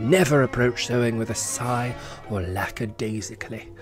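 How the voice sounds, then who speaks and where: With music in the background, a man speaks at medium pitch and a moderate pace. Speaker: voice-over artist. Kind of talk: comic reading of a vintage instruction book. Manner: mock-formal, instructive.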